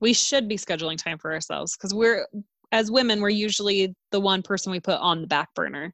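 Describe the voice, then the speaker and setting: A woman uses a normal speaking voice at medium pitch with ordinary pitch variation. She talks at a fairly quick pace. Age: 30s. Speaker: podcast co-host. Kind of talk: casual chat.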